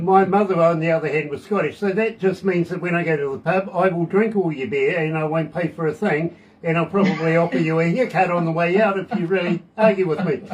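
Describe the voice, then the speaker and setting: A man speaks at a high pitch with hardly any pauses. Noticeable background noise runs beneath him. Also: fairly quick pace. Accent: New Zealand. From New Zealand. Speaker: radio DJ. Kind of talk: casual radio interview. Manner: animated, jokey.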